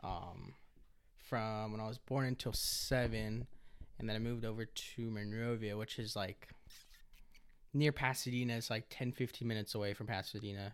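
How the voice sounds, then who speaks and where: A man's medium-pitched voice at a moderate pace, fairly even in intonation, with long, frequent pauses. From Los Angeles, California. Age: 20s. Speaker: podcast co-host, welding trade student. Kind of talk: casual chat.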